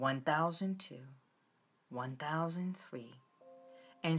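A woman speaks with music in the background. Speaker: wellness host. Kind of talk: guided relaxation talk. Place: home room. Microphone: phone near.

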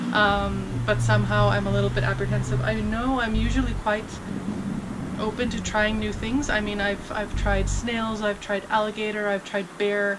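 Loud background noise runs throughout. The speech moves at a moderate pace. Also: woman. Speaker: vlogger. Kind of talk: casual vlog chat. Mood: amused, slightly apprehensive. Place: garden.

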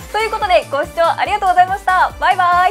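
With faint music in the background, a woman speaks in an upbeat tone. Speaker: news caster. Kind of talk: casual talk to camera. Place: studio.

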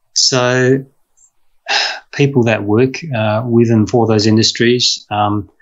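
A man talks in an Australian accent. His intonation is flat and monotone. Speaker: veterinarian and professor. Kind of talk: interview conversation. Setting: video call. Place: home room. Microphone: video call.

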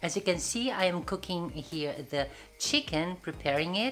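A woman with a very deep, low pitch talks at a fairly quick pace over light background noise. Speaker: home cooking vlogger. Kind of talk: casual vlog chat. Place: kitchen. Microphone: phone near.

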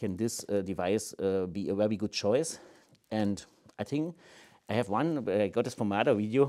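A man with a German accent speaks fairly quickly in a dark, mellow tone. His pitch varies in an ordinary way against a quiet background. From Germany. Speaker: laser scanner company presenter. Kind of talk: product review video. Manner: halting, frequent fillers. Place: office.

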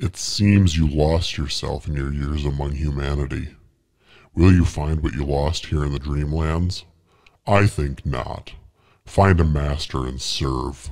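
Booming and menacing, a man with a very deep, low pitch speaks at a fairly slow pace with fairly even intonation. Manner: menacing, mocking.

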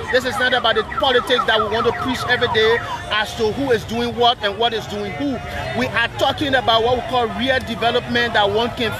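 Someone talks at a fairly quick pace over crowd noise in the background, with a dry sound and no echo. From Liberia. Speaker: live video reporter. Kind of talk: live on-location reporting. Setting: outdoors at a park. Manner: animated. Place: beach. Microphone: phone near.

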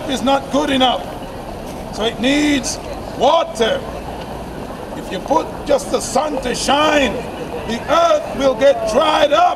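Over noticeable background noise, a man with an extremely high pitch talks at a very slow pace, with ordinary pitch variation and long, frequent pauses. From England. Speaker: street preacher. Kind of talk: street preaching sermon. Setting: outdoors, public square. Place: street. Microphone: camera far.

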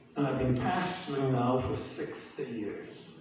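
Amid strong room echo and light background noise, a man speaks at a very slow pace. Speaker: preacher. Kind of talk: sermon. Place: church. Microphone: podium.

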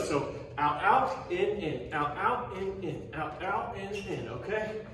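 With audible room echo and light background noise, a man speaks at a high pitch with ordinary pitch variation. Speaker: fitness instructor. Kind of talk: workout instruction. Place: gym. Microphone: camera far.

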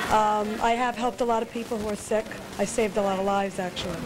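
Noticeable noise sits in the background. A woman talks over it at a fairly quick speed. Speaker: interview guest. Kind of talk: interview answer. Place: cafe. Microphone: handheld.

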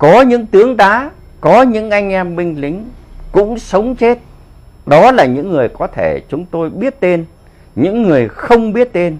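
Speaking fairly slowly, a man with a Northern Vietnamese accent has a high-pitched voice. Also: lively intonation. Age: 70s. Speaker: war veteran; political commentator. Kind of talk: political commentary monologue. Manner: animated. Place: home room. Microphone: lapel.

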